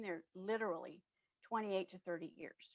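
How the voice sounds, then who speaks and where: A woman's unremarkable speaking voice at medium pitch, with ordinary pitch variation and a dry, close sound free of echo. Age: 60s. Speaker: diversity and inclusion consultant. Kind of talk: interview.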